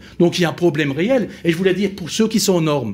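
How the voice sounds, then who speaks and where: A high-pitched man with an Alsatian accent, lively intonation and a fairly quick pace. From Alsace, France. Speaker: company founder, small business advocate. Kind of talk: round-table panel discussion.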